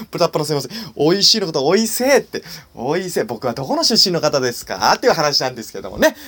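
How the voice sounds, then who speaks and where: A man talks at a very fast pace in a fairly high pitch, with very wide pitch swings and big swings in loudness. Noticeable background noise runs behind him. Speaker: solo podcaster and comedian. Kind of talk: casual solo monologue. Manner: halting, many fillers; cheerful, laughing.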